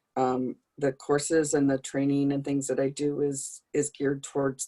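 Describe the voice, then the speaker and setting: A woman's very deep, low voice at a moderate pace, dry and close with no echo. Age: 60s. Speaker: early childhood trainer. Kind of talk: self-introduction.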